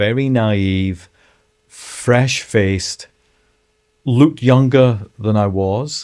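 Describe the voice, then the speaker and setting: Speaking with a Scottish accent at a medium pitch, a man goes at a very slow pace with long, frequent pauses. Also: ordinary pitch variation. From Scotland, Edinburgh (Leith). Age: 60s. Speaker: former city mayor and author. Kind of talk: interview, life story. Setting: studio.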